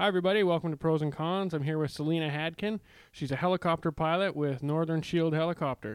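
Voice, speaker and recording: At a very fast pace, a man speaks with a fairly high pitch, fairly even intonation and very even loudness. The recording is very clean, with a silent background. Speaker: podcast host. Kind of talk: casual interview chat.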